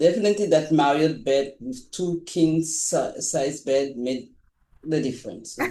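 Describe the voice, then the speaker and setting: With a dark, mellow tone and ordinary pitch variation, a man speaks at a fairly high pitch and a fairly slow pace. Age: 70s. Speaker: Toastmasters member. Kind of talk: Q&A on a video call. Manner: halting.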